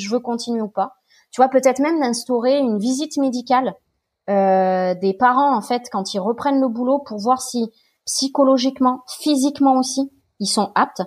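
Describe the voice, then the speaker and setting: Here a woman talks in a high pitch at a moderate pace with ordinary pitch variation. The recording is very clean, with a silent background. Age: 30s. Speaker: guest sharing fertility treatment and work experience. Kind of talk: casual interview chat.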